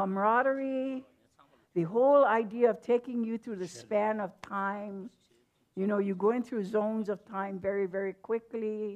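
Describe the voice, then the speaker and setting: A woman with a Hawaiian accent talks at a moderate pace in a fairly high pitch. Her intonation stays fairly even over a quiet background. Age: 70s. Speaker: hula teacher. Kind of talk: panel discussion.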